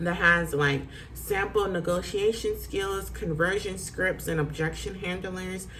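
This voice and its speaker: A woman speaks at a fairly slow pace in an animated tone, with audible room echo and noticeable background noise. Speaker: real estate agent. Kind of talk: tutorial.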